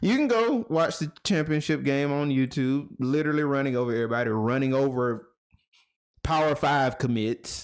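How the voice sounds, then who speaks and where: In a Southern US accent, a man speaks at a moderate pace with an animated tone and a fairly high pitch. His pitch varies in an ordinary way, his loudness stays very even, and the recording is very clean with a silent background. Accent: Southern country. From South Georgia, US South. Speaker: podcast host. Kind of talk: casual chat.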